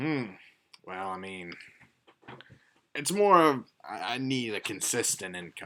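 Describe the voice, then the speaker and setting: A man speaks at medium pitch in a put-on character voice. He talks fairly slowly, with long, frequent pauses. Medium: actual play. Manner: easygoing, folksy.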